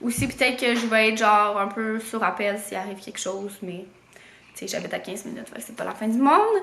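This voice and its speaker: A woman with a Quebec accent speaks with lively intonation, and audible room echo is present. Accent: Québécois French. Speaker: vlogger. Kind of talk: casual vlog chat. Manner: hesitant, many fillers.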